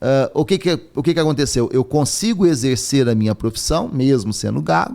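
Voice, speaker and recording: Very wide pitch swings mark this man's speech. His pace is moderate. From southern Minas Gerais, Brazil. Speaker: university rector and philosophy professor. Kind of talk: podcast interview.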